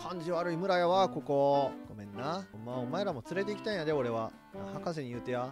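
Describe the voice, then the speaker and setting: Fairly quick speech in a Kansai accent, with music playing in the background. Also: man. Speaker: voice actor. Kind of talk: game commentary. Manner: high-energy, animated.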